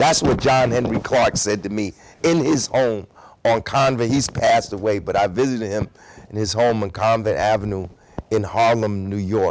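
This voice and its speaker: The pitch varies in an ordinary way at a moderate pace. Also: man. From Newark, New Jersey, US. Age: 60s. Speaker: activist. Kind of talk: interview. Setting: high school.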